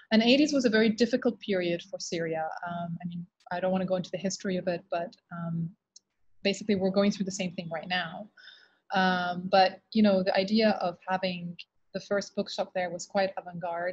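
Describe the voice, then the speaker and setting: Against a quiet background, a somewhat breathy woman speaks at a fairly quick pace with fairly even intonation. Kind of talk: interview answer. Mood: reflective, relaxed storytelling. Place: office. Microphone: video call.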